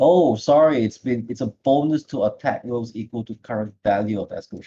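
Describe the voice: At a fairly quick pace, a man talks at a medium pitch with ordinary pitch variation. His tone is dark and mellow, with a slightly husky edge.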